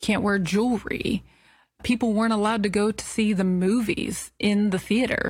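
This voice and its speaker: The woman's voice is somewhat breathy and medium in pitch. Her intonation stays monotone and flat. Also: moderate pace. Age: 30s. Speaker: podcast host. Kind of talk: personal monologue.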